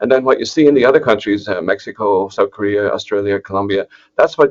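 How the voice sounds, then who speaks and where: A man with an Irish accent speaks at a fairly quick pace, with a dry, close sound and no echo. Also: quiet background. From Ireland, southeast. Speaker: agricultural economist, professor. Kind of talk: webinar presentation. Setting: online webinar. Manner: hesitant, many fillers and restarts.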